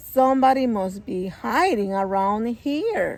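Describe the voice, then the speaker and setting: Putting on a character voice, a woman speaks fairly high and fairly slowly with lively intonation. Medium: read story.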